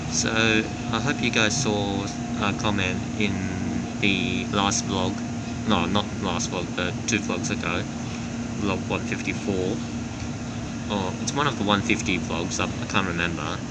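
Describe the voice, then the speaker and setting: A man at a fairly slow pace, with ordinary pitch variation and long, frequent pauses, over loud background noise. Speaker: train vlogger. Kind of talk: casual vlog chat. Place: train. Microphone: phone near.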